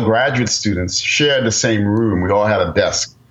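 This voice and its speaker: With an American accent, a man speaks at a fairly quick pace with ordinary pitch variation, and there is noticeable background noise. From New York, the Bronx. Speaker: physics professor. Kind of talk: interview.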